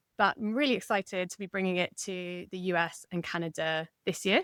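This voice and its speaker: A woman talks in an English accent. The sound is dry and close, with no echo. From England. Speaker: novelist. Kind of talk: interview conversation.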